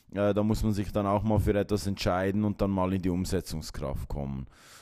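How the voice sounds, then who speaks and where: On a very clean recording with a silent background, a man speaks at a moderate pace. His very deep, low voice has a dark, mellow tone and ordinary pitch variation. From Switzerland, Aargau. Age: 30s. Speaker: sales professional. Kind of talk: interview.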